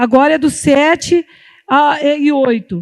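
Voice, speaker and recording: A woman with a high pitch speaks over a quiet background. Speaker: pastor. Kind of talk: sermon. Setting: church. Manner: halting.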